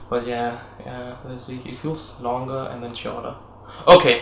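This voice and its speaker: Male speech carrying audible echo from the room along with noticeable background noise. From Denmark. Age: 20s. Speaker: English teacher, video blogger. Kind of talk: casual chat.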